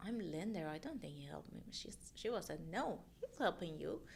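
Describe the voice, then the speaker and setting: A woman with a strong Persian accent speaks with very wide pitch swings. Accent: thick Persian. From Iran. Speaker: mortgage loan officer. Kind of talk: casual interview chat. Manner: halting.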